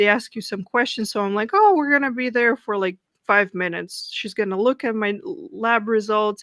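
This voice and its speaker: A woman with a plain, everyday voice, fairly high in pitch, at a moderate pace with ordinary pitch variation over a quiet background. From Russia. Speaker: political podcaster. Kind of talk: podcast interview.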